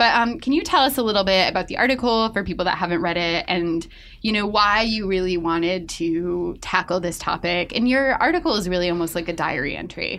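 At a fairly quick pace, a woman talks with hardly any pauses. She has a normal speaking voice with ordinary pitch variation. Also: medium pitch for a woman. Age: 30s. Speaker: podcast host, magazine editor. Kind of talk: casual chat.

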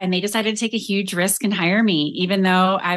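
A woman with an American accent speaks in a medium pitch with a bright, sharp tone. Her pitch varies in an ordinary way against a quiet background. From Colorado. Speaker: company CEO and leadership expert. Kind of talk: interview.

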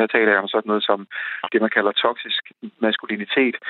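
A man speaks in an unremarkable speaking voice. His pitch is medium. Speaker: commentator on men's issues. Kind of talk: radio interview. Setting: phone call.

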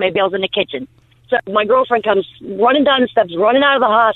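A woman's fairly high voice rushes along at a very fast pace. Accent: American. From United States. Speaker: caller. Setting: phone call. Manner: animated.

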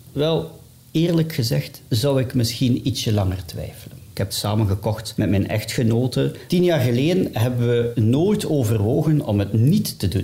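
At a moderate pace, a man with a dark, mellow tone and vocal fry speaks at medium pitch with lively intonation. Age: 30s. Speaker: economics teacher. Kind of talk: personal testimony.

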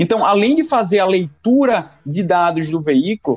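Speaking at a fairly slow pace, a man uses a high pitch and lively intonation in a dry, close sound with no echo. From Brazil, Pernambuco (Recife). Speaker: tech company co-founder. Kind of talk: interview. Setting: virtual call.

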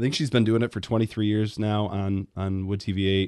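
The speaker has a Midwestern American accent and talks at a fairly quick pace. The sound is dry and close with no echo, over a quiet background. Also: man. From Michigan, Grand Rapids. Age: 30s. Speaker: sports radio host. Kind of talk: casual sports chat.

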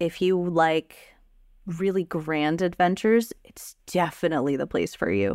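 The speaker has an unremarkable speaking voice. The pace is fairly slow, with big swings in loudness. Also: woman, fairly low pitch for a woman, lively intonation. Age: 30s. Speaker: tabletop game writer and streamer. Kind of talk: casual interview.

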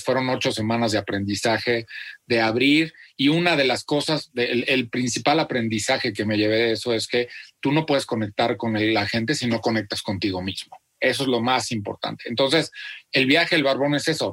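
A normal speaking voice from a man, medium in pitch, with ordinary pitch variation, very even loudness and a fairly quick pace. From central Mexico (Celaya, Guanajuato). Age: 40s. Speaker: content creator and author. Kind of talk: interview. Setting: video call.

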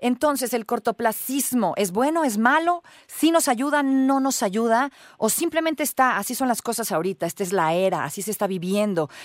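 Here a woman speaks in a fairly high voice with very wide pitch swings. The sound is dry and close, with no echo. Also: moderate pace. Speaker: radio host. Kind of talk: radio interview.

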